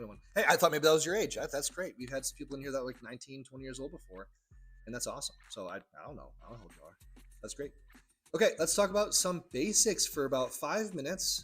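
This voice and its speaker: A man talks very fast over music in the background, his loudness swinging widely. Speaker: trading educator, livestream host. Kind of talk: live-stream tutorial. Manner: casual, repetitive.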